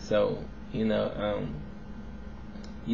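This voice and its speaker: A man with an American accent speaks, and the room's echo is audible. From US South. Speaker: vlogger. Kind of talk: casual video response monologue. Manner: casual, filler-heavy.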